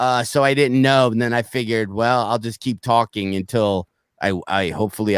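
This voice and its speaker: Mumbling at a fairly quick pace, a man with a fairly low pitch and fairly even intonation is heard in a very clean recording with a silent background and a dry, close sound with no echo. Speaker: comedian and podcast host. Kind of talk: casual chat. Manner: slurring, mumbling; halting, repetitive.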